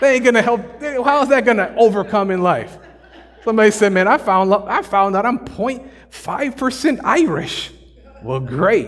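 Background noise is noticeable as a man speaks. His pitch is high and his intonation is lively. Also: moderate pace. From Milwaukee, US Midwest. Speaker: pastor. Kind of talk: sermon. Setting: church. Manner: animated.

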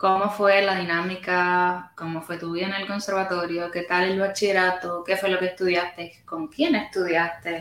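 In a Puerto Rican accent, a woman speaks with fairly even intonation. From Puerto Rico. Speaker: podcast host. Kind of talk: casual interview. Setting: backstage room at music venue.

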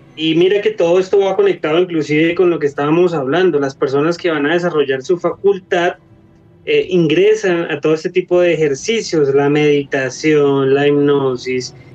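Ordinary pitch variation and very even loudness, with noticeable background noise. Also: man, fairly high pitch for a man, moderate pace. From Colombia. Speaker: paranormal investigator. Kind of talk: casual chat.

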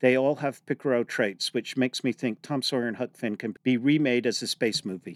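A man with a plain, everyday voice of medium pitch speaks at a fairly quick pace, recorded dry and close with no echo on a very clean recording with a silent background. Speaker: museum podcast host. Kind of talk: educational podcast chat.

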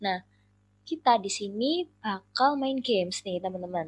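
Her pitch moves in an ordinary way as the woman talks at a moderate pace. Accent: strong Surabaya. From Indonesia, Surabaya (East Java). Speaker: student podcast co-host. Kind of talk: casual chat.

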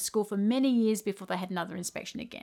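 A woman with an Australian accent, lively intonation and a very fast pace, in a very clean recording with a silent background. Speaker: podcast host and music teacher. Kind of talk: solo podcast monologue.

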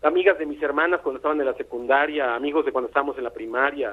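This is a man talking. His pace is very fast. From Veracruz port, Mexico. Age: 50s. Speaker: musician. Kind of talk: phone-in storytelling. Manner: halting, repeats words.

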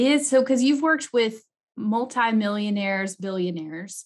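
A woman speaks with lively intonation. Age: 30s. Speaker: podcast host, CPA and CFO. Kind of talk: interview podcast. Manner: animated.

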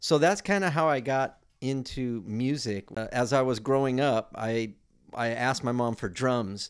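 A man with an American accent has an ordinary speaking voice, a medium pitch, ordinary pitch variation and a moderate pace, on a very clean recording with a silent background. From US West Coast, South Bay Los Angeles. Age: 60s. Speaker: musician and music school owner. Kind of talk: interview.

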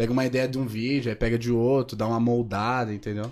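A man with an unremarkable speaking voice, medium pitch, and a moderate pace. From São Paulo state, Caieiras. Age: 20s. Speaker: social media influencer. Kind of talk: casual chat.

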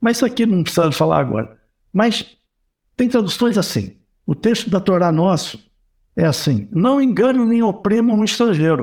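A man speaks at a moderate pace with a high pitch. His loudness stays very even, broken by long, frequent pauses. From Brazil, Rio de Janeiro. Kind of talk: casual chat.

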